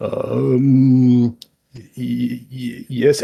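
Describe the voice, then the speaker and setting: A put-on character voice, pitched low to middle. It sounds gruff. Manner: nervous, hesitant.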